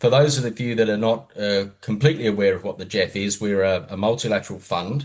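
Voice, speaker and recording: A man with an Australian accent speaks at a fairly quick pace with ordinary pitch variation. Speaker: environmental fund official. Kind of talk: panel talk.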